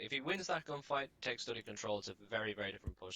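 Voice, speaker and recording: Very fast and bright, a man speaks in a sharp tone marked by vocal fry. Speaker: esports caster. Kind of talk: live commentary. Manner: monotone.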